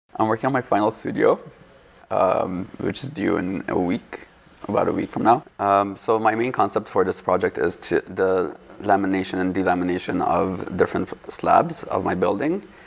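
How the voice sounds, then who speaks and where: There is noticeable background noise. Through it, a man talks at a moderate pace. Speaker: architecture student. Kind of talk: casual interview. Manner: halting.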